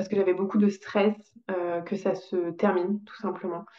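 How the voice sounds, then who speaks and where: Her intonation is monotone and flat. The woman's medium-pitched voice moves at a moderate pace. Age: 20s. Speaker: podcast guest sharing birth story. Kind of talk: testimony. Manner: halting, many hesitations.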